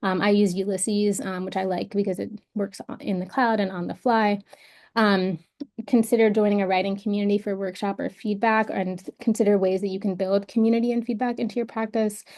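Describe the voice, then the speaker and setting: Against a quiet background, a woman speaks at a medium pitch. Her pace is fairly quick and her intonation fairly even. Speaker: writing workshop presenter. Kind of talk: presentation. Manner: halting, many fillers.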